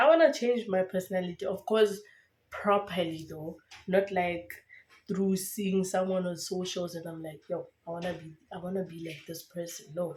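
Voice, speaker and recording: Somewhat breathy, a woman at a medium pitch speaks at a moderate pace with fairly even intonation and big swings in loudness. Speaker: lifestyle vlogger. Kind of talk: casual vlog monologue. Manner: chatty, with many fillers.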